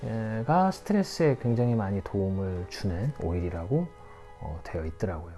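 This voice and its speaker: Over music in the background, a man with a fairly low pitch talks at a moderate pace with lively intonation. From Korea, Jeonju (Jeolla/Chungcheong dialect mix). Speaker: aromatherapy and perfumery instructor. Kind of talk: tutorial. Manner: hesitant, many fillers.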